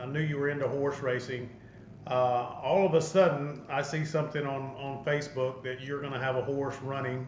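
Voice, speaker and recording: In an Arkansas accent, a man speaks at a moderate pace in a fairly high pitch with monotone, flat intonation. Room echo is audible and the background noise is noticeable. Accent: Southern US (Arkansas). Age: 60s. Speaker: podcast host. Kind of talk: casual interview chat.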